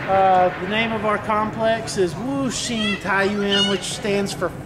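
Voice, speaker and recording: A man's high voice, very slow and fairly even in intonation, with noticeable background noise. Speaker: tour guide of his neighborhood. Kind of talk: casual vlog chat. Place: garden.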